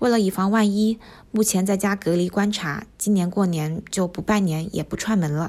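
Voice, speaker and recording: A woman with an unremarkable speaking voice talks at a moderate pace and medium pitch with fairly even intonation, in a very clean recording with a silent background. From Wuhan, China. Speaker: medical company employee and diary contributor. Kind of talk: reading a personal diary aloud.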